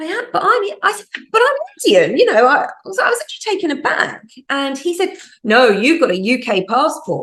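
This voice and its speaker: In a British accent, the speaker talks fairly quickly with very wide pitch swings. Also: woman, extremely high pitch for a woman. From UK. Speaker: podcast host, magazine editor. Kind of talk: casual interview chat. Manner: animated storytelling.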